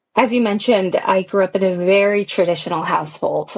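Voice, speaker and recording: With a Californian accent, a woman talks at a moderate pace using fairly even intonation. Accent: Californian American. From US, San Francisco Bay Area. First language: Pashto. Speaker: pilot. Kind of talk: interview.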